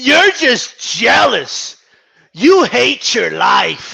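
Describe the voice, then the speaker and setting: A raspy put-on character voice moves at a very slow pace. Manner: whiny, accusatory, mocking.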